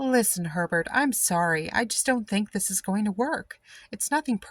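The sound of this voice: Unforced voice reading a text.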